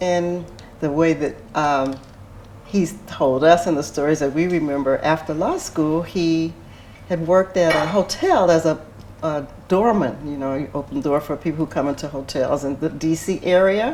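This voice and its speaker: A woman with an American accent speaks at a moderate pace in a very deep, low voice with ordinary pitch variation, over noticeable background noise. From US Midwest, St. Louis, Missouri. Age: 70s. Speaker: oral history interviewee. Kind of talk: interview.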